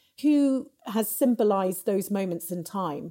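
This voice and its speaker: A woman with an English accent speaks with lively intonation and a dark, mellow tone. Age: 40s. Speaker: entrepreneur. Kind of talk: interview.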